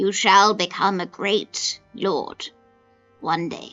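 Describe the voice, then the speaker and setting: A raspy, female-sounding put-on character voice at medium pitch, very slow in pace, with faint music in the background. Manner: sweet, soothing, motherly.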